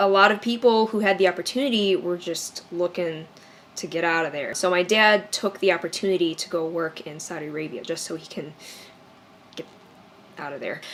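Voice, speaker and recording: Speaking fairly quickly with a Chicago accent, this voice shows ordinary pitch variation and big swings in loudness. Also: woman, fairly low pitch for a woman. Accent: Chicago American English. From US Midwest, Chicago area. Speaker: YouTuber. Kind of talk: personal storytelling vlog.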